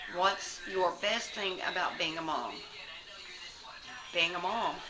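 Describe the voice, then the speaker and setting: A Southern US accent at a very slow pace with fairly even intonation, audible room echo and noticeable background noise. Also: woman, fairly low pitch for a woman. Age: 30s. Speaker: lifestyle vlogger. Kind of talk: casual chat. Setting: at home with kids. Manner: halting.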